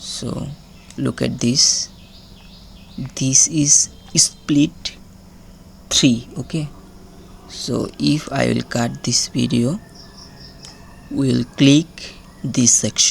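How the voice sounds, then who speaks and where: Very slow pace with long, frequent pauses. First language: not English. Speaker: video editing tutor. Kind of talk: tutorial. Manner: halting.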